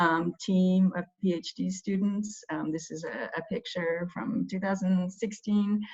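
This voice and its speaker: Speaking fairly slowly with an American accent, a woman uses a somewhat breathy, medium-pitched voice and fairly even intonation. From United States. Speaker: engineering professor. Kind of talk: webinar lecture. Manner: halting, many fillers.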